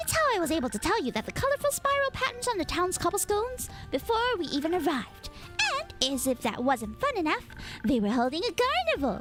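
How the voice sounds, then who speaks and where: Over clear music in the background, a woman puts on a character voice at an extremely high pitch, with very wide pitch swings and a very fast pace. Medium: virtual streamer. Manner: playful, teasing.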